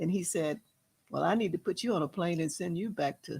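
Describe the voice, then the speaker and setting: This voice moves at a moderate pace with ordinary pitch variation and a somewhat breathy quality. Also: woman. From US South, El Dorado. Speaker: jazz singer. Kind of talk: interview storytelling. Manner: animated.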